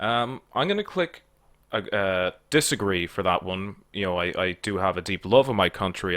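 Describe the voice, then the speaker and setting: With an Irish accent, a man speaks at a fairly quick pace in a very deep, low voice with a bright, sharp tone. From Ireland. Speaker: online political commentator. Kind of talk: casual solo commentary taking an online quiz. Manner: halting, many fillers and repeated words; plain own voice, no comedic put-on voice.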